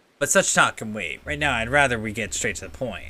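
A man puts on a gruff, gravelly character voice at a medium pitch, talking at a fairly quick pace with lively intonation and big swings in loudness.

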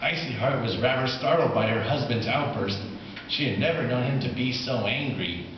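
A man with ordinary pitch variation, in audible room echo. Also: medium pitch for a man, moderate pace.

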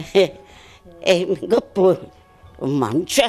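A woman speaks with faint music in the background. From Montella, province of Avellino, Italy. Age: 80s+. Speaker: centenarian being interviewed. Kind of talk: interview answer. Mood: warm, reminiscing. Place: home room. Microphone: handheld.

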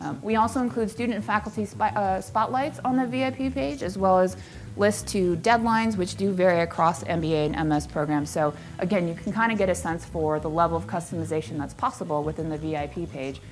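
A woman's fairly low-pitched voice with vocal fry, very wide pitch swings and a fairly quick pace over light background noise. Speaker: conference presenter. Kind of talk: presentation talk. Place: hall.

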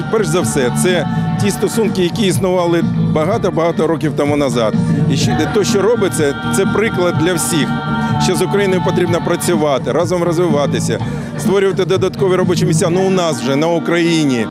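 A man talking at a fairly quick pace with ordinary pitch variation, dry sound with no echo and loud music in the background. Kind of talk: interview answer. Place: street.

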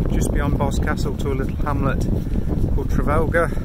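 A man's voice, dry with no echo, over loud background noise. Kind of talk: casual vlog chat. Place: open country. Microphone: phone near.

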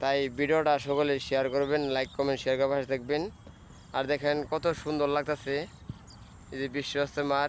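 A man's fairly high voice in a monotone, flat intonation, at very even loudness. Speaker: YouTuber vlogger. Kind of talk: casual vlog to camera. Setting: outdoors.

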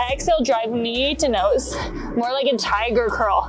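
A woman at a fairly slow pace with ordinary pitch variation, clear music in the background. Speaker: fitness instructor. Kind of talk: tutorial. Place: garden.

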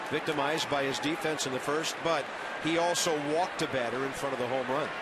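Loud background noise surrounds a man with an American accent, though the sound itself is dry with no echo. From US Midwest. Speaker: play-by-play announcer. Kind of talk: live baseball play-by-play commentary. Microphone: headset.

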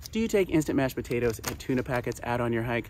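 A man's voice in a dry sound with no echo. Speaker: presenter. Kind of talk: tutorial. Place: open country.

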